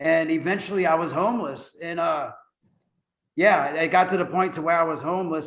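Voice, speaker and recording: With an American accent, a man speaks at a fairly quick pace and a fairly high pitch, keeping his intonation fairly even. Audible room echo surrounds his voice. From US South, New Orleans. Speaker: navy veteran in recovery. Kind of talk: interview testimony.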